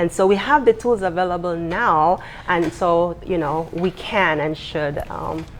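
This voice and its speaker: A woman with a Belizean accent at fairly low pitch, fairly slow, with ordinary pitch variation and noticeable background noise. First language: Belize Kriol. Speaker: university lecturer and writer. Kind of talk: TV interview.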